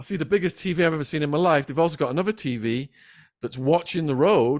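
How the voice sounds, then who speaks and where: A man speaks at a very fast clip. His voice sits fairly high for a man. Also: ordinary pitch variation. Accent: English. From England. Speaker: former drug dealer turned author. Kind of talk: storytelling interview. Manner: animated.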